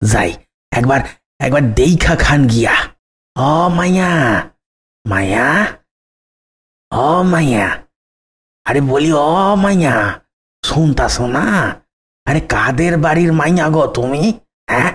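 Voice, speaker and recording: A man's cartoonish character voice, fairly high in pitch, with lively intonation, very even loudness and a very slow pace. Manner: folksy, rustic.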